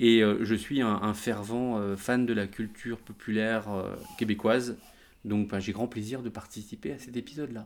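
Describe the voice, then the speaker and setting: A man at a medium pitch, speaking at a moderate pace in a monotone, flat intonation. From France. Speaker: geek culture website founder. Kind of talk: casual chat.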